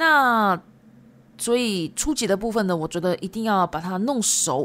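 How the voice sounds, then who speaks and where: A woman speaks at a fairly slow pace and medium pitch, with very wide pitch swings. The recording is very clean with a silent background. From Japan. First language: Japanese and Chinese (speaking Chinese). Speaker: Japanese language teacher. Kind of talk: podcast monologue. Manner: casual, chatty.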